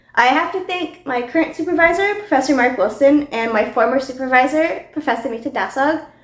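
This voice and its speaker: Against noticeable background noise, a high-pitched woman speaks at a fairly quick pace with lively intonation and hardly any pauses. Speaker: chemistry PhD student. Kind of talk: personal testimony.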